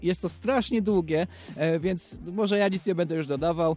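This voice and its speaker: Against a quiet background, a man speaks with a high pitch and a dark, mellow tone. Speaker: radio host. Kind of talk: casual chat.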